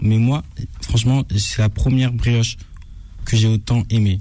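Noticeable background noise sits behind a man speaking at a medium pitch. His pace is very slow and his intonation fairly even. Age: old. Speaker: food influencer. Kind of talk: restaurant review.

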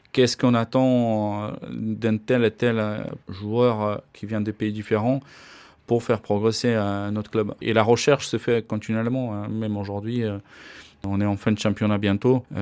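A man's fairly low voice moves at a fairly slow pace, its intonation monotone and flat. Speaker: ice hockey coach. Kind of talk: interview. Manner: halting, many hesitations and repeats.

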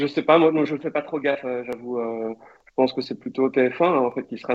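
Speaking at a fairly quick pace, a man uses an ordinary speaking voice with a medium pitch. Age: 40s. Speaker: football commentator. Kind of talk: casual interview.

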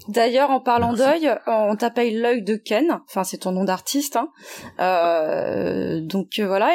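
A woman talks at a fairly slow pace in an ordinary speaking voice. Her pitch sits fairly high, with ordinary pitch variation. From French Guiana and Martinique. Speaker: podcast host. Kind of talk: interview.

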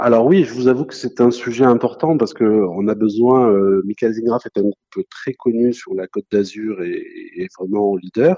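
Keeping a moderate pace, a man speaks in a medium pitch. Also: ordinary pitch variation. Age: 50s. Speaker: real estate franchisee. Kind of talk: interview. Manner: hesitant, many fillers.

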